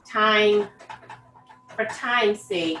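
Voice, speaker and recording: Amid noticeable background noise, a woman speaks at a very slow pace in a fairly high pitch. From Brazil, Salvador (Bahia). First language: Portuguese. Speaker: home cook. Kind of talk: cooking demonstration. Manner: casual, instructive.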